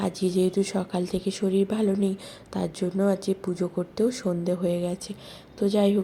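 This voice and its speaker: Somewhat breathy delivery with monotone, flat intonation. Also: woman, medium pitch for a woman. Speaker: vlogger. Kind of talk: casual vlog narration. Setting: at home, kitchen.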